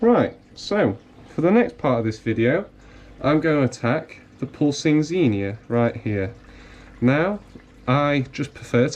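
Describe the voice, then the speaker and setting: The speaker is a man with a northern English accent. He talks at a fairly slow pace with lively intonation. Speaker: coral seller demonstrating fragging. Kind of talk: tutorial. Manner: casual.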